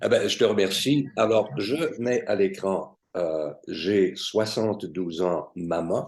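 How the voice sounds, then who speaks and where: With a fairly low pitch, a man speaks at a very slow pace. He hardly pauses at all. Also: lively intonation. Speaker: cultural talk show host. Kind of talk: interview questions.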